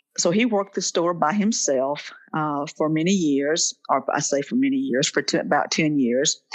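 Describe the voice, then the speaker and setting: With a quiet background behind her, a woman speaks at a moderate pace in a fairly low pitch with lively intonation. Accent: Southern US. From Mississippi Delta. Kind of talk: interview answer.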